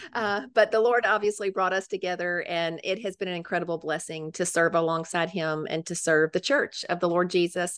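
Against a quiet background, a woman with a Memphis accent talks with hardly any pauses. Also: fairly low pitch for a woman, fairly quick pace. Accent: Southern US (Memphis). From Memphis, Tennessee. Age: old. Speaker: women's ministry leader. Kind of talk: casual interview.

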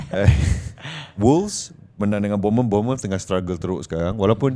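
A man's fairly low pitch with a dark, mellow tone and ordinary pitch variation. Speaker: podcast host. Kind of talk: casual chat.

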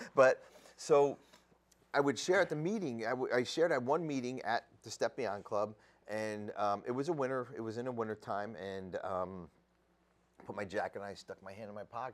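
With a New Jersey accent, a man speaks with lively intonation and big swings in loudness. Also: medium pitch for a man, moderate pace. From New Jersey (Sayreville). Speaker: addiction recovery podcaster and treatment program worker. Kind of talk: casual interview, recovery story.

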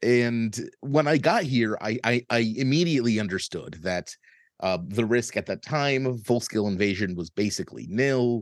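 A speaker with an American accent talks at a moderate pace with ordinary pitch variation against a quiet background. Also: man, medium pitch for a man. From United States. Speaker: journalist and podcaster. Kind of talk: interview conversation.

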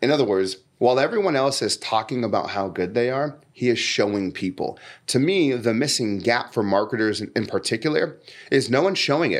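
Over a quiet background, a man with a Californian accent speaks at a fairly quick pace in an animated tone, his medium-pitched voice showing lively intonation. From San Diego, California. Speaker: podcast host and marketer. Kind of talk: casual interview.

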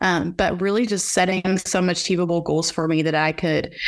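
A woman with a Texan accent and a medium-pitched voice. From Texas, Fort Worth area. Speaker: ranch owner and ag association marketing manager. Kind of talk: interview.

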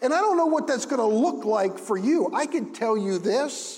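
A loud man at a fairly slow pace, with very wide pitch swings. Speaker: pastor. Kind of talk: sermon. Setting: church. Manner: loud, animated.

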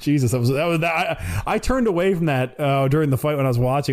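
A man's animated, very fast speech over noticeable background noise. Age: 30s. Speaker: boxing fan guest. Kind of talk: casual chat.

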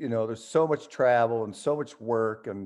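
In a quiet background, a man with an American accent and a normal speaking voice talks at a medium pitch with fairly even intonation. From western New York, US. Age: 60s. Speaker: rock musician. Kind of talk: interview.

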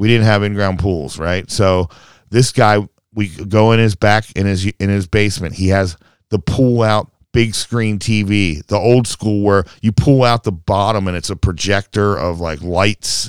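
Fairly low-pitched man with an American accent, fairly even intonation and a fairly slow pace, in a dry, close sound with no echo. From Baltimore, Maryland. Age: 50s. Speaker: skateboarder and drummer. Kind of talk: casual chat. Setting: band practice room.

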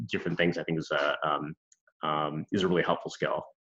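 With an American accent, a man talks at a very fast pace. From US Midwest (Milwaukee, Wisconsin). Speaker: design educator. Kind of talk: interview. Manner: halting, many fillers and repeats.

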